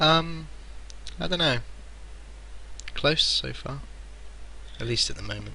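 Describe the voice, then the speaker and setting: Someone with a West Country accent speaks at a fairly slow pace with long, frequent pauses, amid noticeable background noise and audible room echo. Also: man. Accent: West Country English, rural-sounding. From Somerset, England. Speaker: gaming streamer. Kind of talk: casual chat. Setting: live stream.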